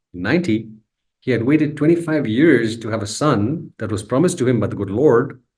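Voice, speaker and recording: A man's somewhat breathy voice at a moderate pace, with audible room echo. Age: 60s. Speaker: spiritual teacher. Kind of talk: lecture. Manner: repetitive emphatic phrasing.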